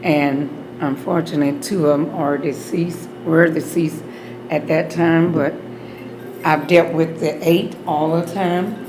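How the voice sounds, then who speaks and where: A woman with a fairly low pitch speaks at a fairly slow pace with fairly even intonation, amid noticeable background noise and audible room echo. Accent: Alabama. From US South, Opelika, Alabama. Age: 60s. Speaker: beauty salon owner. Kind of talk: oral history interview.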